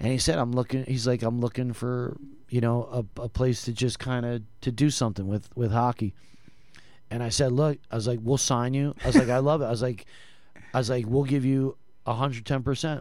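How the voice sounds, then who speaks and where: Using an ordinary speaking voice, a man talks at a fairly quick pace with medium pitch and fairly even intonation. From New Jersey. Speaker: former hockey team executive. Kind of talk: casual interview.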